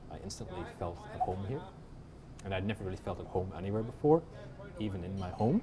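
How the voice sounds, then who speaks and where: A man speaks at a very fast pace yet leaves long, frequent pauses, his pitch fairly low with ordinary variation. Noticeable background noise runs underneath. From Northern Ireland, Belfast. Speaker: author. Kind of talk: casual interview over a drink. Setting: pub. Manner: hesitant, many ums.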